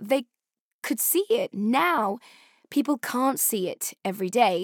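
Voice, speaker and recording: In a British accent, a woman with a high pitch and very wide pitch swings speaks at a fairly slow pace, the sound dry and close with no echo and the recording very clean with a silent background. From Afghanistan and Pakistan (Peshawar), then UK. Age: 30s. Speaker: podcast host and journalist. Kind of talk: scripted narration with interviews.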